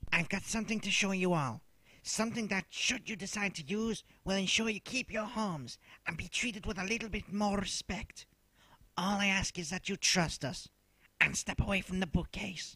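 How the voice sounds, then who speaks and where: In a raised, projected voice, a man speaks at a moderate pace. His pitch is high, with ordinary variation. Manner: solemn, rousing.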